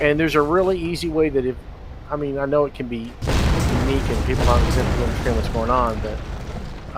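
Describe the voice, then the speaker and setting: A man speaks with audible echo in the room. Noticeable noise sits in the background. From Texas. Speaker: game developer. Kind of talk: live stream commentary. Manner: fast.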